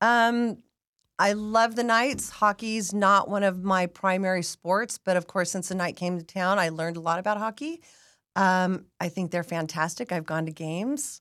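A woman has an ordinary speaking voice with an American accent, a medium pitch, ordinary pitch variation and a moderate pace, in a very clean recording with a silent background. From Las Vegas, Nevada. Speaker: season ticket holder and sports fan. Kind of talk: casual chat.

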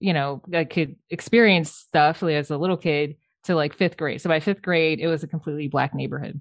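An unremarkable speaking voice with an American accent moves at a fairly quick pace with fairly even intonation. The background is quiet. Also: woman. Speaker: architect. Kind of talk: interview.

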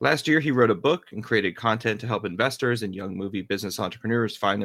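A man at a very fast pace and fairly low pitch with ordinary pitch variation, in a very clean recording against a silent background. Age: 30s. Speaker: podcast host, attorney and marketer. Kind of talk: casual interview chat.

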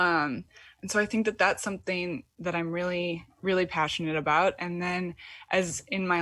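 In a very clean recording with a silent background, a woman with a plain, everyday voice and an American accent speaks at a fairly slow pace, her pitch fairly low and her intonation fairly even. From US Midwest, Michigan. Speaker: poet and writer. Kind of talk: casual interview chat.

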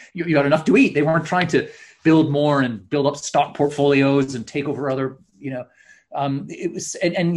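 Somewhat breathy, a man with a fairly high pitch speaks at a fairly quick pace. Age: 50s. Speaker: author. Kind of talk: interview.

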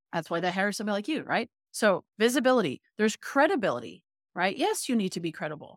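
A medium-pitched woman's voice with a Canadian accent, at a very fast pace, with very wide pitch swings, in a dry, close sound with no echo and a very clean recording with a silent background. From Canada, Toronto. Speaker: business coach. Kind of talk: interview.

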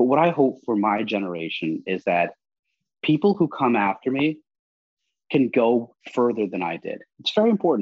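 A man with an American accent, medium pitch, very wide pitch swings and a moderate pace. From US, New York. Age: 40s. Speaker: national security commentator and former double agent. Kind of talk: interview.

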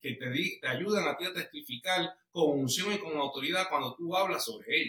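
A man speaks in a raised, projected voice. His pace is fairly quick. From Puerto Rico (Bayamón). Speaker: guest sharing marriage testimony. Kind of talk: testimony interview.

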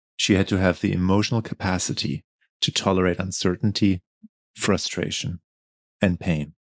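A man speaks at a moderate pace with a very deep, low pitch and vocal fry. His pitch varies in an ordinary way, and the sound is dry and close with no echo. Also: very clean recording, silent background. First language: not English. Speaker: podcast host. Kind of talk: scripted intro then interview conversation.

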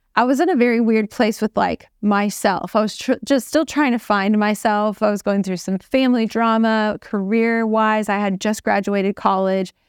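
A woman with an American accent has a plain, everyday voice, fairly high in pitch with fairly even intonation, speaking at a moderate pace with hardly any pauses. The very clean recording has a silent background and a dry, close sound with no echo. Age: 30s. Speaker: fitness trainer and reality TV contestant. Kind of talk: casual interview.

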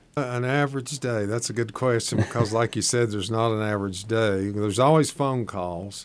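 A man speaks in an Appalachian accent. His pace is fairly quick. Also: medium pitch for a man, ordinary pitch variation, hardly any pauses. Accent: Appalachian Southern US. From East Tennessee (Shady Valley). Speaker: agricultural extension agent. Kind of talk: radio interview.

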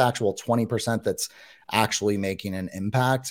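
A man's plain, everyday voice, fairly low in pitch, with an American accent and ordinary pitch variation, on a very clean recording with a silent background. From San Francisco Bay Area, US. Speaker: YouTuber and former classroom teacher. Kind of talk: casual interview chat.

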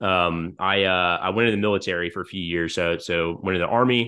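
This man has a very deep, low pitch. He talks with an American accent. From US South, Georgia. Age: 30s. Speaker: supplement company founder and army veteran. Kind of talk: casual interview conversation. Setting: home office. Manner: hesitant, many fillers. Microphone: new microphone and headphones.

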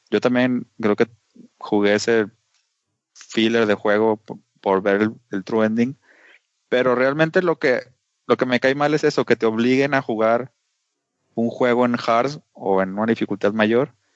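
With a Mexican accent, a man speaks with long, frequent pauses. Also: very even loudness. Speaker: video game podcast co-host. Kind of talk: casual chat.

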